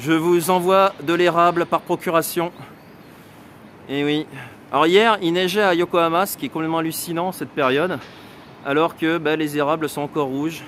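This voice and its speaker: A man speaks with a southern French accent and high pitch. His intonation is fairly even, with long, frequent pauses. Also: moderate pace. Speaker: photographer and travel vlogger. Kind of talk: live travel vlog walk and chat. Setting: outdoors. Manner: loud.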